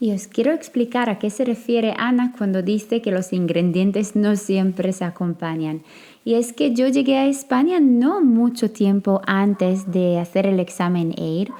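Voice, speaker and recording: A woman with a non-native accent, medium in pitch and dark, mellow in tone, at a fairly slow pace with ordinary pitch variation and hardly any pauses. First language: not Spanish (speaking Spanish). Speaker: midwife and podcast host. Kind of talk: podcast interview.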